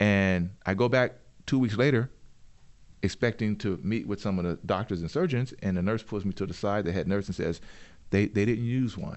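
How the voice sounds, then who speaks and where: In an unremarkable speaking voice, the speaker talks at a moderate pace with ordinary pitch variation. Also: man, fairly low pitch for a man. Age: 50s. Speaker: entrepreneur and inventor. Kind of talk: interview.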